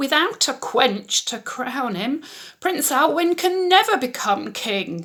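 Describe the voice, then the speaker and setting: A female-sounding put-on character voice is high and shaky, with very wide pitch swings. It moves at a fairly slow pace. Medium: read story.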